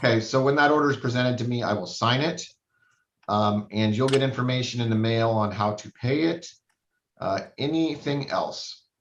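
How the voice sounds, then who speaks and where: Medium-pitched male voice with ordinary pitch variation and audible room echo. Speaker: judge. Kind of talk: court hearing. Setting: video call. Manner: fast.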